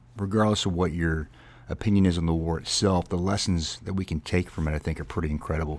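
With a very deep, low pitch and fairly even intonation, a man speaks at a very fast pace. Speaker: military podcast host. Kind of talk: casual podcast chat. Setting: studio.

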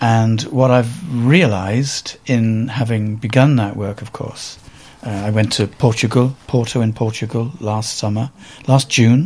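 At a fairly slow pace, the voice shows ordinary pitch variation over noticeable background noise. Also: man, medium pitch for a man. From Wales, Cardiff. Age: 60s. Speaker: photographer. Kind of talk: interview.

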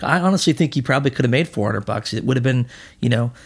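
Somewhat breathy, a man talks at a medium pitch. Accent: Canadian. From Canada (Manitoba, then Alberta). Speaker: sports agent. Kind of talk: casual chat. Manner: halting.

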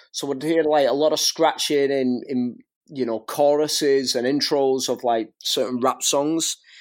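On a very clean recording with a silent background, a man with a fairly high pitch speaks at a fairly slow pace with fairly even intonation. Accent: strong Northwest English. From northwest England. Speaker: scratch DJ and teacher. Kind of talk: casual interview chat.

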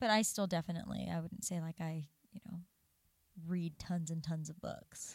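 A woman with an American accent, fairly low in pitch and somewhat breathy, at a moderate pace with long, frequent pauses and fairly even intonation. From Southern California. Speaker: podcast co-host. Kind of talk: casual chat.

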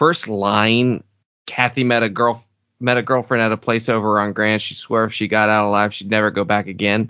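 This man has a fairly low pitch and a slight Southern US accent. He keeps a moderate pace with monotone, flat intonation. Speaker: podcast co-host. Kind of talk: casual chat.

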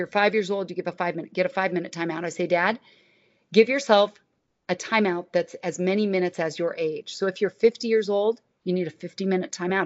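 A woman talks very fast, her medium pitch rising and falling in an ordinary way. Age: 60s. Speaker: licensed counselor and author. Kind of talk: casual chat. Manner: animated.

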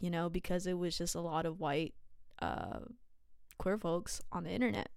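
A woman speaks at a medium pitch with a Californian accent. The recording is very clean, with a silent background. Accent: Californian American English. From California, San Jose. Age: 20s. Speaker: podcast host. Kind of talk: casual monologue.

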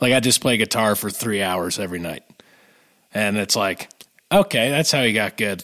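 A man's medium-pitched voice, bright and sharp in tone, at a moderate pace. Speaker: podcast co-host. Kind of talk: casual chat. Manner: animated.

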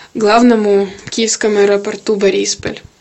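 Over noticeable background noise, a woman of medium pitch talks at a moderate pace. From Kyiv, Ukraine. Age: 20s. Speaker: IT worker. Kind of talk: testimony.

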